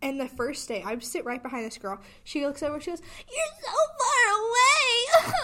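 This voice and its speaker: A woman speaks in a raised, projected voice at a moderate pace, her extremely high pitch swinging very widely over noticeable background noise. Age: 18. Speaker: college student podcast co-host. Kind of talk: casual chat.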